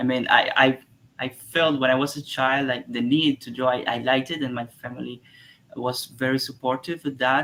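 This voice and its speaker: Speaking at a moderate pace in a Spanish accent, a man with medium pitch and a bright, sharp tone keeps his intonation flat and monotone. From Cuba. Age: 30s. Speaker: artist and tarot illustrator. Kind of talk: interview. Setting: live stream. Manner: halting.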